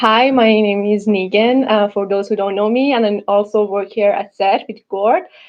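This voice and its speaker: A woman with a non-native accent, medium pitch and fairly even intonation, at a moderate pace with hardly any pauses. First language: not English. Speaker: UX/UI designer presenting a project. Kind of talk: presentation. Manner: halting, many fillers and restarts.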